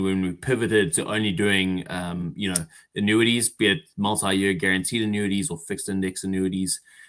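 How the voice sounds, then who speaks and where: A man with a South African accent, fairly low in pitch and fairly quick in pace, on a very clean recording with a silent background. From South Africa, Durban. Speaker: insurance relationship manager. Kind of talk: interview.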